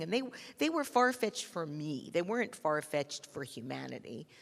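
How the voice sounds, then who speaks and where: A woman's voice with vocal fry and very wide pitch swings, at a moderate pace. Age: 60s. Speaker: designer, podcast host and author. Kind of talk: onstage conversation.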